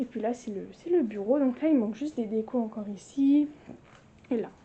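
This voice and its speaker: A woman's fairly high voice moves at a fairly quick pace with ordinary pitch variation. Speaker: lifestyle vlogger. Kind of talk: casual home tour vlog. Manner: animated.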